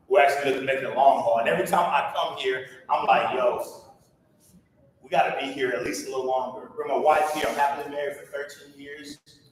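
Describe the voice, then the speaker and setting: The speech comes at a fairly quick pace with an energetic tone. Audible room echo surrounds it. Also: man. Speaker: motivational speaker. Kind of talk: motivational talk. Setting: stage with audience. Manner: fast; loud, energetic.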